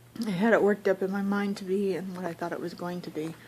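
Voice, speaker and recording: Monotone, flat intonation over noticeable background noise. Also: woman. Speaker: vlogger. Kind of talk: casual vlog monologue. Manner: chatty.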